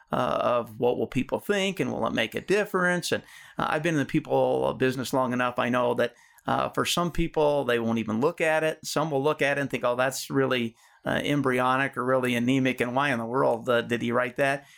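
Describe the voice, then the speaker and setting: This man has an ordinary speaking voice, talking at a fairly quick pace with ordinary pitch variation and very even loudness on a very clean recording with a silent background. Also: medium pitch for a man. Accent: American. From Colorado, US. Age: 50s. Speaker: life coach. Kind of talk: interview.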